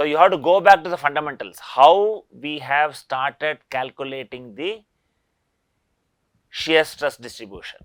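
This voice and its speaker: A man with an Indian accent speaks at a fairly slow pace in a fairly high pitch, with ordinary pitch variation, on a very clean recording with a silent background. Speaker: engineering professor. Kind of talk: lecture.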